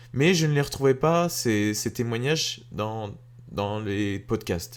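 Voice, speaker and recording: Speaking fairly slowly, a man with a medium pitch keeps his intonation lively. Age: 20s. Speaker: podcast host. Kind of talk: podcast monologue introduction. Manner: hesitant, many fillers and repetitions.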